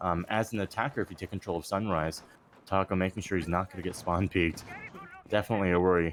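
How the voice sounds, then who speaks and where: Over noticeable background noise, a man speaks at a very fast pace. His pitch is very deep and low, and his intonation fairly even. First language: not English. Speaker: esports caster. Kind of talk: live commentary.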